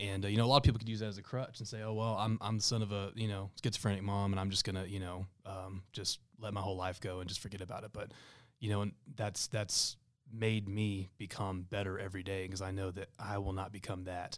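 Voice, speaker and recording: Very fast and monotone, a man with a Texan accent speaks at a fairly low pitch on a very clean recording with a silent background. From Texas Panhandle (Amarillo area). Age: 20s. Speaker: small business owner. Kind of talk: interview podcast. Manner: halting, many fillers.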